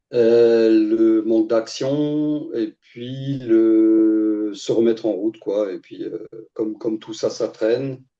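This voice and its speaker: A very slow, dark and mellow delivery with fairly even intonation. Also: man, medium pitch for a man. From Alsace, France (Strasbourg). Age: 60s. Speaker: coaching client, former IT worker. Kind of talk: testimony interview. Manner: hesitant, many fillers.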